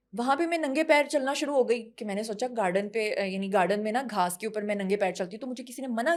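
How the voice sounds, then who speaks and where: A woman talks in a fairly high pitch with an animated tone and ordinary pitch variation. She leaves hardly any pauses. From Punjab, Pakistan. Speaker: actress and model. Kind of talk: casual interview chat.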